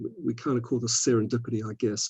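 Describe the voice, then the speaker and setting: A man speaks with an Antipodean accent in a dark, mellow tone. His voice is somewhat breathy and his intonation is monotone and flat. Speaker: scientist, physiology society representative. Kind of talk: webinar talk. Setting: online webinar. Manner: repetitive hesitations.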